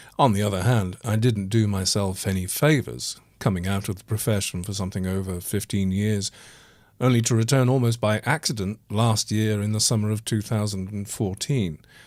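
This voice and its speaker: Speaking with an English accent at a moderate pace, a man with fairly low pitch shows ordinary pitch variation on a very clean recording with a silent background. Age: 60s. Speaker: actor and podcast host. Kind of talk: personal monologue podcast.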